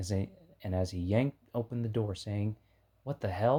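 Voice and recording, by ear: Text is being read out loud. The delivery sounds natural.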